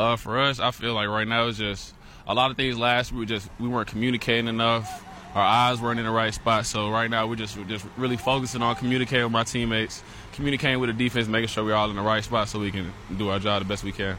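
A man with medium pitch talks at a very fast pace in a monotone, flat intonation. Noticeable background noise sits behind him. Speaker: college football linebacker. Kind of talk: pregame radio interview. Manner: halting, repeats words.

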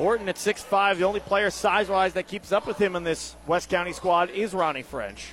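A man's high pitch and fairly even intonation at a fairly quick pace, amid noticeable background noise. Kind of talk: live commentary. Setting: radio broadcast at a high school basketball game.

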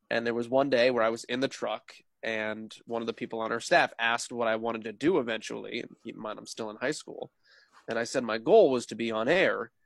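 A man's plain, everyday voice at a medium pitch and fairly quick pace, with fairly even intonation, a dry, close sound with no echo and a very clean recording over a silent background. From New Jersey, US. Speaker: sports play-by-play broadcaster. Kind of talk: casual interview chat.

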